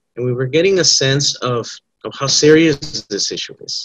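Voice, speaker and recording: Moderately paced, a man's speech shows ordinary pitch variation. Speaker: presenter. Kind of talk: panel presentation. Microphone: video call.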